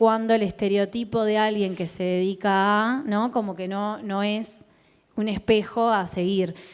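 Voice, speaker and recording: At a fairly slow pace, a woman with a medium-pitched voice speaks in fairly even intonation, an unremarkable speaking voice. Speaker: event host and interviewer. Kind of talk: interview questions.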